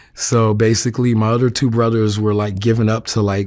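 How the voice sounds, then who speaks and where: The recording is very clean, with a silent background. The speaker has a New York accent and a monotone, flat intonation. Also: man. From New York City (Queens). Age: 40s. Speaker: interviewee sharing life story. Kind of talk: interview testimony. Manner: hesitant, many fillers.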